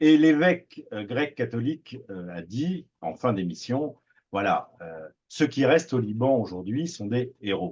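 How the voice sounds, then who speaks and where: A man with a Parisian accent and a medium pitch speaks very slowly, his pitch swinging very widely and his loudness shifting in big swings. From Paris, France. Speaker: TV producer. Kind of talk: radio interview. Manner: hesitant, many fillers and repetitions.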